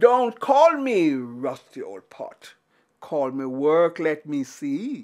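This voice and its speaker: In a very clean recording with a silent background, a woman uses a put-on character voice at a fairly low pitch and a very slow pace. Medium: read story.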